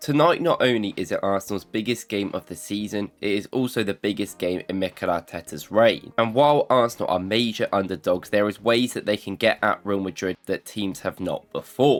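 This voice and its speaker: In a British accent, a man with a fairly low voice talks at a fairly quick pace with hardly any pauses and ordinary pitch variation, in a dry, close sound with no echo. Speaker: football analysis youtuber. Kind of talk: casual talk to camera.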